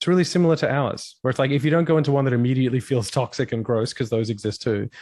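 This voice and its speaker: Against a quiet background, a man with an Australian accent talks at a very fast pace and keeps his loudness very even. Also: medium pitch for a man, ordinary pitch variation. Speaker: rock vocalist and streamer. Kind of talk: casual interview chat.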